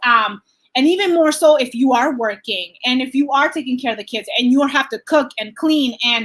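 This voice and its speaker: A woman talks loudly at a moderate pace, her pitch high and its variation ordinary. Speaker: life coach. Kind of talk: live Q&A coaching session. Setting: livestream on Facebook and Zoom. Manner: animated.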